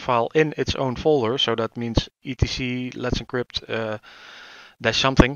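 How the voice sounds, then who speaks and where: Fairly even intonation marks this man's medium-pitched speech. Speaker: tech tutorial youtuber. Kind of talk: tutorial. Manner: hesitant, searching for words.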